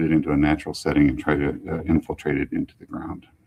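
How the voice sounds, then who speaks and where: Talking at a fairly quick pace, a man uses a very deep, low pitch. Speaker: public utility executive director giving a talk. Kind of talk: public presentation with slides. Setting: museum event with live audience. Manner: fast.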